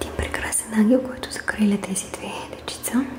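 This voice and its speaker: Whispering at a moderate pace in a gentle tone, a woman speaks over noticeable background noise. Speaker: ASMR creator. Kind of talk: ASMR soft-spoken home tour of vintage tapestries. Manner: soft-spoken, gentle.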